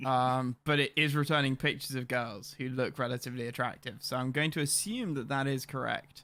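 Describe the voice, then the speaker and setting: Hardly pausing, a man with a British accent speaks at a fairly quick pace and medium pitch in a bright, sharp tone. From England. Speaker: gaming streamer. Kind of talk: live stream commentary. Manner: animated.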